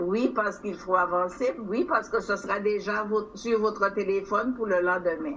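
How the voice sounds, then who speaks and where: Room echo is audible around her. The woman talks at a fairly slow pace. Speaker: territorial council president. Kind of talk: formal council speech. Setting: council chamber session.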